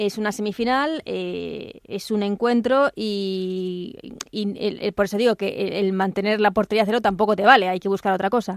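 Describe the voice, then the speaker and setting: A woman speaks in an ordinary speaking voice at a moderate pace and medium pitch, with fairly even intonation and hardly any pauses. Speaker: radio sports podcast host. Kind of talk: sports radio interview and analysis.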